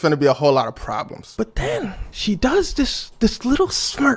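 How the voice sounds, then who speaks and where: Over noticeable background noise, a man with an American accent speaks in an animated tone at a moderate pace. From United States. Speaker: storyteller. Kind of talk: personal anecdote.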